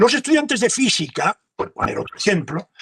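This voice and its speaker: This man talks at a fairly slow pace. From Spain. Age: 70s. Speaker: professor. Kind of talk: lecture Q&A. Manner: halting.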